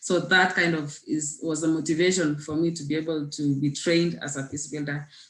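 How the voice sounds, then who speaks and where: A woman with a Kenyan accent and a very deep, low pitch, monotone and flat, at a fairly quick pace with hardly any pauses, over noticeable background noise. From Kenya, West Pokot. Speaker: peacebuilder. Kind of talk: panel presentation. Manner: halting with many fillers.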